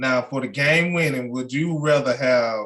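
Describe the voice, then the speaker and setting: A man speaks in a Mississippi accent at a medium pitch. His pace is fairly slow, with ordinary pitch variation. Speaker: podcast host. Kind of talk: casual interview.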